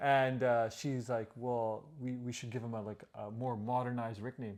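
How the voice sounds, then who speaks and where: A man with an unremarkable speaking voice talks at a medium pitch and a moderate pace in a Canadian accent. The recording is very clean, with a silent background. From Canada, Punjabi immigrant family. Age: 30s. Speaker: podcast co-host. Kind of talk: casual chat.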